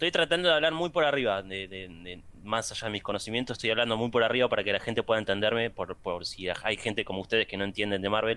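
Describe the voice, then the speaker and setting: In a Rioplatense accent, a man talks very fast with hardly any pauses, his tone bright and sharp and his intonation lively. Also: medium pitch for a man. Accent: Argentine Rioplatense Spanish. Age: young. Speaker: podcast host. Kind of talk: casual chat.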